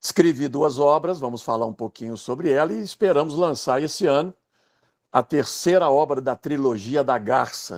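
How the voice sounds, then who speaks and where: At a moderate pace, a man with a Minas Gerais accent speaks at a fairly high pitch with ordinary pitch variation, in a dry, close sound with no echo on a very clean recording with a silent background. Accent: Brazilian Portuguese, Minas Gerais (mineiro). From Brazil, Minas Gerais (Pedro Leopoldo). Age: 60s. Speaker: writer and biographer. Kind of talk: casual chat.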